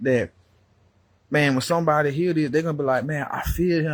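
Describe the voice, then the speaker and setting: Here is a man with an American accent and a fairly high, somewhat breathy voice. His pitch varies in an ordinary way. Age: 30s. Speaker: preacher. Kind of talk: sermon. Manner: animated; repetitive.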